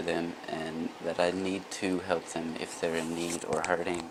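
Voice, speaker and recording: A quiet man speaks fairly slowly in a very deep, low pitch with monotone, flat intonation. Noticeable background noise is present. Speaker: vlogger. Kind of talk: casual monologue vlog.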